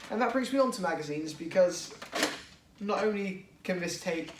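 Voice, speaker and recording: Speaking fairly quickly with an English accent, a man has a high pitch and ordinary pitch variation. Room echo is audible, along with noticeable background noise. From England. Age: 20s. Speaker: toy blaster modder, YouTuber. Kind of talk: product showcase tutorial. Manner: casual, hesitant with fillers.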